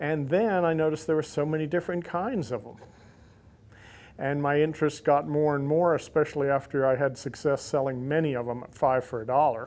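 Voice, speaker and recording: This man has an ordinary speaking voice, pitched fairly high. He moves at a fairly quick pace with ordinary pitch variation. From US South, Central Florida (Lakeland). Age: 60s. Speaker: insulator collector. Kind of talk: interview monologue.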